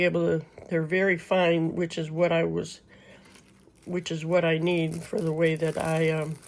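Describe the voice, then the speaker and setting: Her intonation flat and monotone, a woman speaks at a moderate pace in a fairly low pitch. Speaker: crafting YouTuber. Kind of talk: product unboxing review. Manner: loud; casual, chatty.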